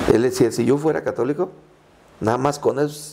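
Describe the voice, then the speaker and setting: This voice has a dark, mellow tone and a somewhat breathy quality, moving at a moderate pace. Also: man. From Mexico, Michoacán (Purépecha town near Tancítaro). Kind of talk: interview conversation.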